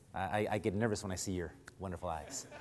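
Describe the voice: Delivered at a fast pace, the voice has a slightly mellow tone and fairly even intonation. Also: man, low pitch for a man.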